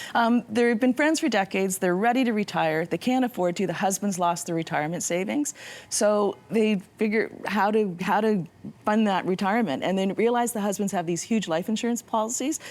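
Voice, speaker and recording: A woman speaks in a normal speaking voice at a medium pitch and a fairly quick pace. Her pitch varies in an ordinary way. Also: very even loudness. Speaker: novelist. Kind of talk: interview.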